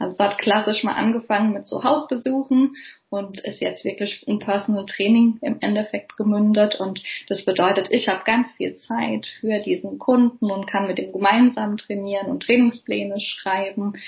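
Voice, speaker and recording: At a moderate pace, a woman talks at a medium pitch, somewhat breathy, with fairly even intonation. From Germany, Palatinate (Kaiserslautern). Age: 30s. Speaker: physiotherapist. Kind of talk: interview. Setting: video call.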